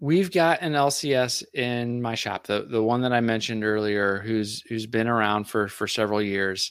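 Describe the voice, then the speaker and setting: This man has a plain, everyday voice at a medium pitch. He speaks at a moderate pace with ordinary pitch variation. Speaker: podcaster and card collector. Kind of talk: casual chat.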